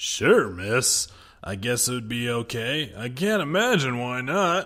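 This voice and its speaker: In a put-on character voice, a man speaks at medium pitch and a fairly slow pace on a very clean recording with a silent background. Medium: read story.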